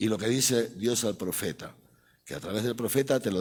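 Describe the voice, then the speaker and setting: At a fairly quick pace, a man speaks at a medium pitch on a very clean recording with a silent background. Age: 60s. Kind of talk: catechetical lecture to a live audience. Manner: conversational, frequent tag questions like ¿eh? ¿no?.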